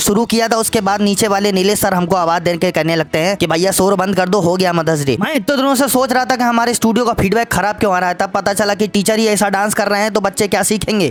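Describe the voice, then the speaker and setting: A man with a high pitch and a playful tone, ordinary pitch variation, very even loudness and hardly any pauses, over music in the background. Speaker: vlog voiceover narrator; dance studio owner, dance teacher. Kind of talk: comic vlog voiceover narration. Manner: humorous, playful.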